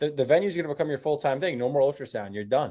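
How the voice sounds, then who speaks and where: A man with a New Jersey accent speaks with fairly even intonation. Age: 20s. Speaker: agency owner. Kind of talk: sales call.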